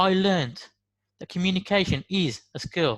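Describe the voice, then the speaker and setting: A man speaks with a Birmingham accent and a high pitch. The background is quiet. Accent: Brummie. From West Midlands, Birmingham. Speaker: motivational speaker. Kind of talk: motivational talk.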